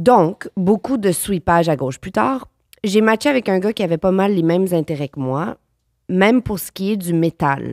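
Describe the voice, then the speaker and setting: The woman's pitch is medium and her intonation lively. She keeps a moderate pace. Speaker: actress. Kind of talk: casual chat.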